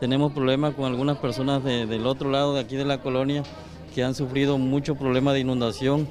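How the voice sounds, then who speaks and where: Faint music plays behind a man speaking with monotone, flat intonation. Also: fairly quick pace, very even loudness. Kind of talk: interview answer. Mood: complaining, earnest. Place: street. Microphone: handheld.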